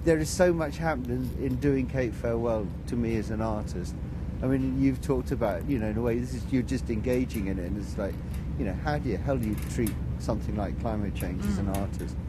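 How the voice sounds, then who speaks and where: Talking at a very fast pace, a man is heard in a dry recording with no echo, over loud background noise. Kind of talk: interview answer. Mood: reflective, thoughtful. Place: open country.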